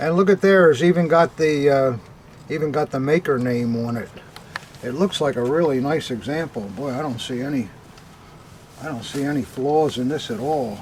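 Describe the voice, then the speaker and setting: With noticeable background noise, a man speaks at a moderate pace in a fairly high voice with ordinary pitch variation and long, frequent pauses. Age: old. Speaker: antique militaria dealer. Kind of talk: unboxing chat. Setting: cellar. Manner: halting.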